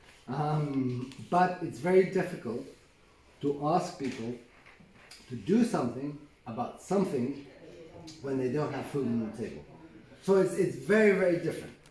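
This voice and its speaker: Lively intonation marks a man's fairly high voice as he speaks at a moderate pace with long, frequent pauses, audible room echo around him. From Colombia. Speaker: filmmaker. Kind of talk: interview. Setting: event interview.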